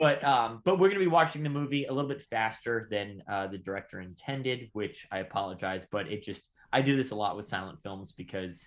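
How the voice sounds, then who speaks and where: A man with an American accent speaks at a medium pitch with lively intonation. His pace is fairly quick, with hardly any pauses. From Southern California. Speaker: podcast co-host, stamp dealer and silent film enthusiast. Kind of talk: casual chat. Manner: fast.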